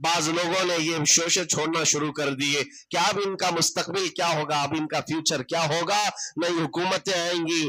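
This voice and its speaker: Noticeable background noise runs under this recording. The speaker is a man with a high pitch. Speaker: Islamic scholar giving a sermon. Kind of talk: Islamic sermon (bayan) on history, addressing an audience. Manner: passionate, rhetorical, storytelling.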